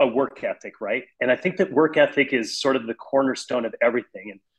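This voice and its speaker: His pitch sits in the middle of a man's range and rises and falls in an ordinary way. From US Midwest, South Dakota. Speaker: jiu-jitsu champion and salesman. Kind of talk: podcast interview.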